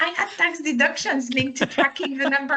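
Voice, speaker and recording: A woman's raised, projected, high-pitched voice with a French accent at a fairly quick pace, over noticeable background noise. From France. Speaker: compensation and benefits consultant. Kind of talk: interview.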